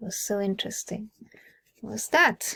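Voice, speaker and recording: Somewhat breathy speech from a woman with a Swiss German accent, in a dry, close sound with no echo. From Switzerland. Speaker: personal growth vlogger. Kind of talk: casual monologue.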